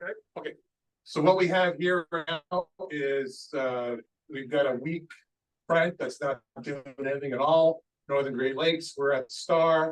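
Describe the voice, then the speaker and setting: A man's fairly high voice at a moderate pace, with fairly even intonation, long, frequent pauses, and a dry, close sound with no echo. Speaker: weather briefer. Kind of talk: presentation.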